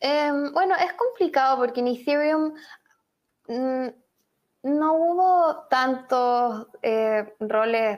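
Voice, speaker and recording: Speaking very slowly with long, frequent pauses, a woman with a Chilean accent uses a high pitch and lively intonation on a very clean recording with a silent background. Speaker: journalist and author. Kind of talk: interview. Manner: hesitant, many fillers.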